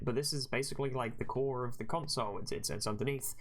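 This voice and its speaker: With audible room echo in the recording, this man speaks at a medium pitch and with ordinary pitch variation. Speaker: gaming youtuber. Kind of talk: gameplay commentary. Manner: fast; animated.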